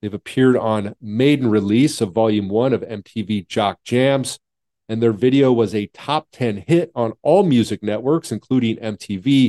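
A man speaks at medium pitch in a dark, mellow tone with ordinary pitch variation. The sound is dry and close, with no echo. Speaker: podcast and radio host. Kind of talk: interview intro and casual chat. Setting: video call.

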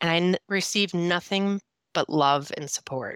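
A woman's fairly low voice with a Minnesotan accent, at a moderate pace with ordinary pitch variation, dry and close with no echo, on a very clean recording over a silent background. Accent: Minnesota. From northern Minnesota, US Midwest. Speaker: sobriety coach and speaker. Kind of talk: interview, telling personal story.

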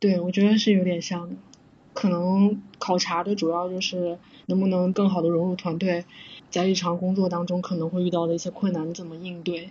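A woman with a fairly low pitch speaks somewhat breathily at a fairly quick pace in a monotone, flat intonation. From southern China. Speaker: software engineer. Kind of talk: casual interview chat.

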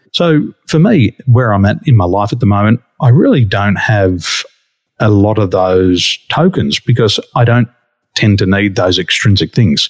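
Fairly low male voice with an Australian accent, fairly slow, lively in intonation, very even in loudness, dry and close with no echo. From Australia, western Sydney. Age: 40s. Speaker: wakeboarding champion and business coach. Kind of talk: casual interview. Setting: remote podcast recording.

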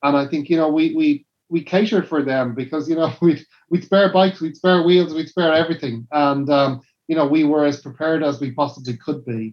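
With a Dublin accent, a man talks fairly quickly in a fairly high-pitched voice, with ordinary pitch variation. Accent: Dublin Irish. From Dublin, Ireland. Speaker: cycling team manager. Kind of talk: casual chat.

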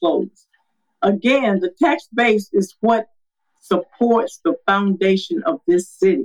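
In a Southern US accent, a woman speaks at a fairly slow pace and a medium pitch, the sound dry and close with no echo. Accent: Southern US (Georgia). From Georgia, US South. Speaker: city council candidate. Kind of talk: political candidate interview.

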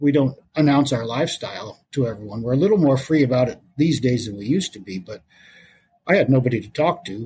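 A man talks at a fairly quick pace with a medium pitch and lively intonation. His voice is somewhat breathy. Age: 50s. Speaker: podcast guest sharing personal story. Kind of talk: casual interview, personal testimony.

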